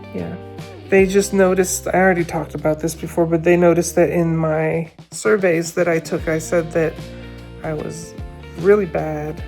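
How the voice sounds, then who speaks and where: The speaker here is female. Music can be heard behind her. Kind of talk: casual vlog talk to camera. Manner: hesitant, rambling.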